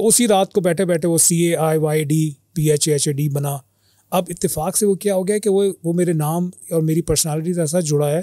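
Against a quiet background, a man speaks at a high pitch with a dark, mellow tone and fairly even intonation. His loudness stays very even, and the sound is dry with no echo. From Pakistan, Karachi; Pakistan. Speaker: media and event management professional; podcast guest. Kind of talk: casual chat. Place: studio. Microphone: studio mic.

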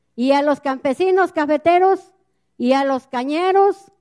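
A woman speaks at a fairly slow pace with ordinary pitch variation. The background is quiet. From Mexico, central Veracruz. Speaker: community activist, river defender. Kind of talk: public speech at a gathering. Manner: impassioned. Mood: earnest, indignant. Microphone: handheld.

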